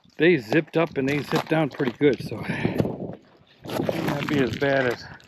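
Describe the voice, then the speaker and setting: A moderate pace and fairly even intonation, with noticeable noise in the background. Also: man, fairly high pitch for a man. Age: 50s. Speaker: religious teacher and video vlogger. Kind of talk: vlog narration while hiking. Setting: outdoors on a mountain. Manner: halting.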